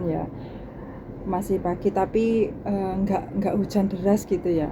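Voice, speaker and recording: Over noticeable background noise, a woman speaks at a fairly slow pace in a flat, monotone delivery. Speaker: domestic worker vlogger. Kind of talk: casual vlog talk. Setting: laundry area at employer's home. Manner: soft-spoken.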